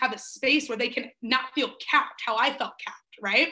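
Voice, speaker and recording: Against a quiet background, a woman speaks with a high pitch and a bright, sharp tone. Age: 20s. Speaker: life coach. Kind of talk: interview.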